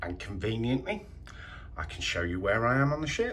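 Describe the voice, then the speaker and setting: A man talks at a moderate speed with light noise in the background. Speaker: travel vlogger. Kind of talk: casual vlog chat. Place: boat. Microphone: phone near.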